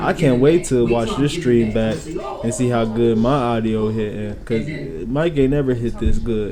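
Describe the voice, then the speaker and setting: With music in the background and audible room echo, a man speaks fairly slowly at a medium pitch. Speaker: streamer. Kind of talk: casual gaming stream chat. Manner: loud.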